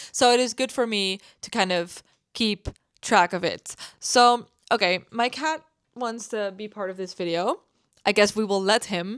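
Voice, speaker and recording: A woman with a non-native accent at a medium pitch with ordinary pitch variation, speaking at a fairly slow pace with long, frequent pauses, on a very clean recording with a silent background. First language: not English. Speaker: gaming content creator. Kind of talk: casual voice-over commentary. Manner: hesitant, many fillers.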